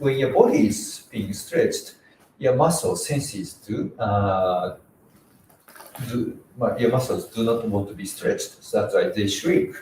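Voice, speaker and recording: Over noticeable background noise, a man talks in a Japanese accent. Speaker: karate instructor. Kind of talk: tutorial. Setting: live stream. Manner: halting.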